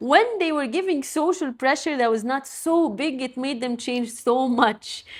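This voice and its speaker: A woman talks with a non-native accent at a high pitch, using ordinary pitch variation. The recording is very clean, with a silent background. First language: not English. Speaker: podcast host. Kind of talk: solo podcast monologue.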